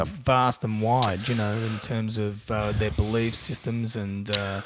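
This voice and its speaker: A man with a fairly low pitch, fairly even intonation and a fairly slow pace, with music in the background. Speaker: podcast host. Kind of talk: casual interview questions.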